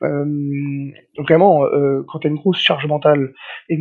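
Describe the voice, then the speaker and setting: The man speaking has a fairly high pitch. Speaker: nutritionist. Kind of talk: podcast interview, casual chat. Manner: hesitant, many repeated words; energetic, hyperactive.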